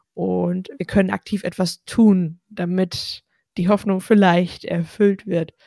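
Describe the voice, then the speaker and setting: A woman's somewhat breathy voice, dark and mellow in tone, holds a monotone, flat intonation in a very clean recording with a silent background and a dry, close sound with no echo. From Ostwestfalen, Germany. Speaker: podcast host. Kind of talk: casual chat.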